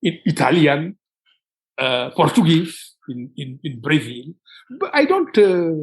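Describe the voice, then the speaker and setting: A man with a Senegalese accent at a fairly high pitch, ordinary pitch variation and a very slow pace, with long, frequent pauses and big swings in loudness. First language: Wolof. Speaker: writer. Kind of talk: interview. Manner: halting.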